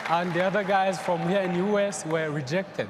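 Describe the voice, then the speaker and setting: Crowd noise fills the background and audible room echo surrounds a man with a Rwandan accent, who speaks at a moderate pace in a high pitch with ordinary pitch variation. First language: Kinyarwanda. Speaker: young entrepreneur panelist. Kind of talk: panel discussion. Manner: halting.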